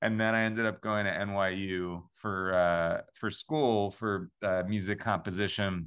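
A man with an American accent talks at a fairly slow pace with hardly any pauses, using a plain, everyday voice. His pitch is fairly low and his intonation fairly even. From Long Island, New York. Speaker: musical theater composer. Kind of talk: interview.

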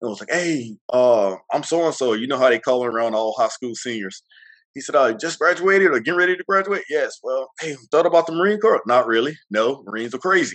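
A man in a Mississippi accent, fairly high-pitched, with lively intonation and a fairly quick pace. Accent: Southern US (Mississippi). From US South, Mississippi. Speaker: retired Marine and bodybuilder. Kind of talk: interview.

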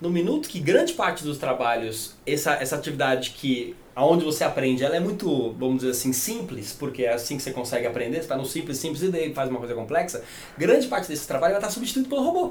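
Noticeable background noise and audible room echo surround a man who talks at a very fast pace with a fairly high pitch and lively intonation. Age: 40s. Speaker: longevity entrepreneur. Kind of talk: podcast interview.

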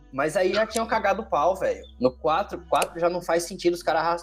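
A man with a high voice talks at a fairly quick pace over music playing in the background. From Ceará, Northeast Brazil. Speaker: podcast co-host. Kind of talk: casual chat. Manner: animated.

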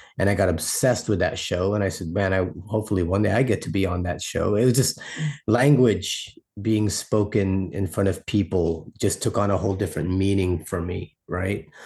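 Against a quiet background, a man with a fairly low, somewhat breathy voice speaks at a moderate pace with fairly even intonation. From Philippines, raised in US from childhood. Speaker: performance poet. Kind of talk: interview.

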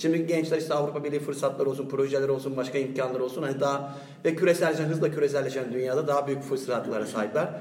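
Speech at a very fast pace comes through audible room echo and noticeable background noise. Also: man. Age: 30s. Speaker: EU grant project worker. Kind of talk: casual panel discussion.

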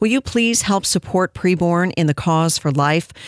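A woman with a fairly low pitch and a normal speaking voice talks at a fairly slow pace with lively intonation, the sound dry and close with no echo on a very clean recording with a silent background. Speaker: radio talk show host. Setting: studio.

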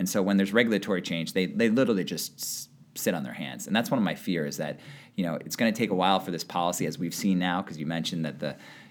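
A man with a very deep, low pitch and ordinary pitch variation talks at a very fast pace in a very clean recording with a silent background. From Connecticut, West Hartford. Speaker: venture capital investor. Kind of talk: casual interview.

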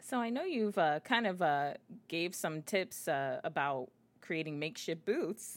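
A woman talks in a normal speaking voice at a fairly low pitch, fairly slowly. Her intonation is lively, and the recording is very clean with a silent background. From Miami, Florida. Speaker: podcast host. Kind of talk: interview.

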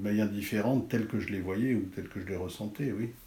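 Audible room echo surrounds a man's somewhat breathy voice, dark and mellow in tone and fairly low in pitch. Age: 60s. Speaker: art critic and writer. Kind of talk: interview. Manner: halting.

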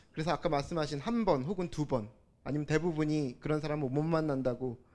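Speaking at a very fast pace, a man talks in a fairly high pitch. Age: 30s. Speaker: audience member. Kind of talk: personal testimony. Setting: stage with audience.

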